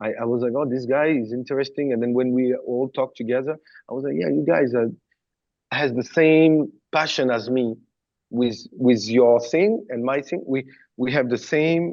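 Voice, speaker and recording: A man speaks with a French accent at a moderate pace. His pitch is medium, with ordinary variation. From southern France. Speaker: former pop star backing dancer, choreographer and creative director. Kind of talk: interview.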